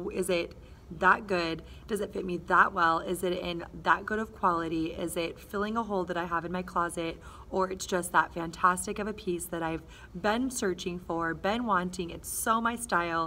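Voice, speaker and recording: A bright, sharp tone at a moderate pace, with fairly even intonation over light background noise. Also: woman, fairly low pitch for a woman. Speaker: vlogger. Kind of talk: casual vlog chat. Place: classroom. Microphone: phone near.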